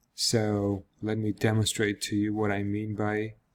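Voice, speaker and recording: In a Georgian accent, a man with fairly low pitch speaks at a very slow pace. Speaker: software developer. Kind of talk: product demo. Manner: casual with fillers.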